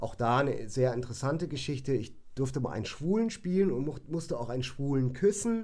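In a room with audible echo, a man talks at a fairly quick pace with hardly any pauses, his fairly high voice dark and mellow in tone, swinging very widely in pitch. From northern Germany, Bremen. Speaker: musician and hairdresser. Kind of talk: casual chat. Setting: home studio.

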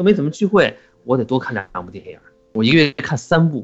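A man talks at a fairly quick pace. His pitch sits fairly high. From Qinghai, China (Xining). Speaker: podcast co-host. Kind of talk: casual chat.

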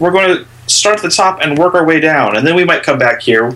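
A man speaks with lively intonation. Noticeable background noise runs behind him. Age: 30s. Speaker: film podcast co-host. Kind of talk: casual chat.

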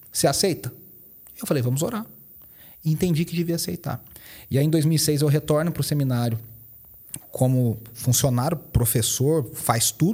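A dark, mellow, somewhat breathy voice with lively intonation, a moderate pace, and long, frequent pauses. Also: man, fairly high pitch for a man. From Minas Gerais, Brazil (Poços de Caldas). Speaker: pastor and worship teacher. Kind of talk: podcast interview.

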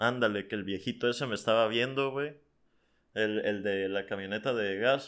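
Fairly low in pitch with fairly even intonation, this man talks in a normal speaking voice. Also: moderate pace. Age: 20s. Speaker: podcast guest. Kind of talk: casual chat.

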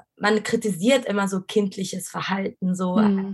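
A woman speaks at a medium pitch with a somewhat breathy voice. Her intonation stays monotone and flat. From Egypt, Cairo. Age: 20s. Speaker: design student. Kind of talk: casual interview.

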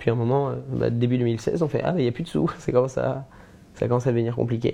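This man talks very fast at medium pitch with ordinary pitch variation. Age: 20s. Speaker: media founder. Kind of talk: casual chat. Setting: live stream.

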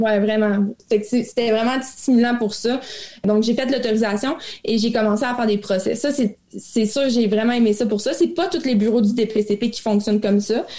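The speaker talks at a moderate pace with ordinary pitch variation. Background noise is noticeable. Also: woman, fairly high pitch for a woman. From Quebec, Abitibi. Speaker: crown prosecutor. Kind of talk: interview.

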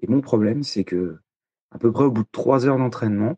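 The voice has a dark, mellow tone and ordinary pitch variation. The sound is dry and close with no echo, over a quiet background. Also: man. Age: 30s. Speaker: listener, amateur triathlete. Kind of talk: recorded listener question.

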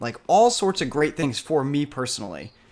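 A man talks in an ordinary speaking voice at a moderate pace with ordinary pitch variation. The recording is very clean, with a silent background. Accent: American. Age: 30s. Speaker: startup CEO. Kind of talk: casual interview.

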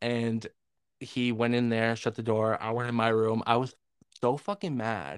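A normal speaking voice with an American accent moves at a fairly slow pace on a very clean recording with a silent background. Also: man. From Northern New York. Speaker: podcast co-host. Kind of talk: casual chat.

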